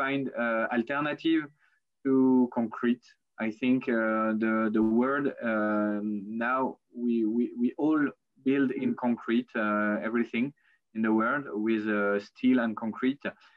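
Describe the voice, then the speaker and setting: At a very slow pace, a man with a French accent speaks at medium pitch with fairly even intonation. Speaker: architect. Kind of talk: lecture. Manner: halting.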